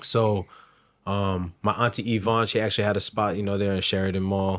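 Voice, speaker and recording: A man with an American accent speaks at a fairly low pitch in a monotone, flat intonation, in a very clean recording with a silent background. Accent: switches Bajan accent on and off. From US, Barbadian parentage, childhood time in Bridgetown. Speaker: chef. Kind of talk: casual interview.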